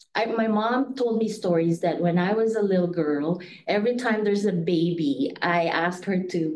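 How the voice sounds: A woman at a moderate pace, fairly low in pitch with ordinary pitch variation, slightly mellow in tone, with audible room echo.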